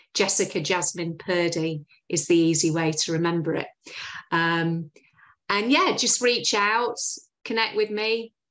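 Against a quiet background, a woman with a fairly low pitch speaks at a fairly slow pace with long, frequent pauses. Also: ordinary pitch variation. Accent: Yorkshire. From Yorkshire, northern England. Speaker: recruitment agency founder; interview guest. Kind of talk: interview. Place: home room. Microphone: video call.

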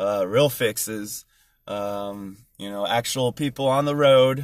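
Fairly slow, fairly even speech from a man in a dry sound with no echo. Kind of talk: casual vlog chat. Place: car. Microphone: phone near.

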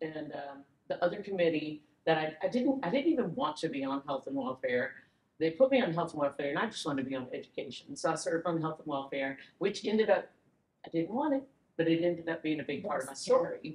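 A woman talks at a very fast pace. There is audible room echo. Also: fairly low pitch for a woman. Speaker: podcast guest. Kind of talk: interview answer. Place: hall.

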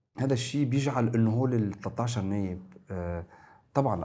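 Ordinary pitch variation and a dark, mellow tone mark this man's voice as he talks at a moderate pace. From Lebanon, north (Zgharta); Lebanon. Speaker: member of parliament and political science lecturer; political science lecturer. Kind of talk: political talk show discussion. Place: studio. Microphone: lapel.

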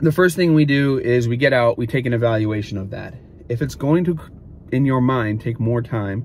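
A man speaks at a moderate pace with ordinary pitch variation and a somewhat breathy quality. The sound is dry with no echo, over light background noise. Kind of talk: tutorial. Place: car. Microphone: phone near.

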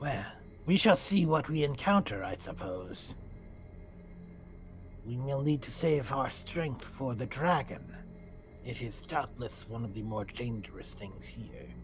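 Over clear background music, a man in a put-on character voice talks at a fairly slow pace and medium pitch, with long, frequent pauses. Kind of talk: stately fantasy speech. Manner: formal, grave, deliberate.

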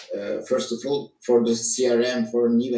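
Audible room echo surrounds a man's dark, mellow voice as he speaks very slowly with fairly even intonation. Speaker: tech team lead; presenter. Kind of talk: online presentation. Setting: video call. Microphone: video call.

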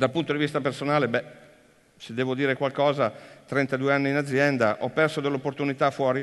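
The speaker moves at a fairly quick pace against a quiet background. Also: man. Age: 50s. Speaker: business executive. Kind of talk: conference talk. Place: stage.

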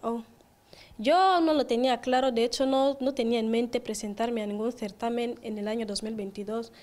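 Her pitch high and her intonation fairly even, a woman speaks at a fairly slow pace. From Equatorial Guinea, Bata; Equatorial Guinea. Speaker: beauty pageant queen; guest. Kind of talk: interview. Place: studio. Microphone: handheld.

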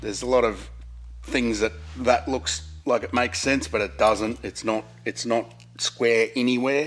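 A man with vocal fry speaks at a fairly slow pace. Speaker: presenter. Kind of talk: tutorial. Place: workshop.

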